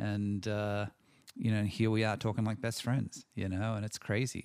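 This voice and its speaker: In a very clean recording with a silent background, a man with an Australian accent speaks at a moderate pace and a fairly low pitch. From Australia (Sydney, from age six). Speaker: screenwriter and director. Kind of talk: interview conversation. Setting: home office.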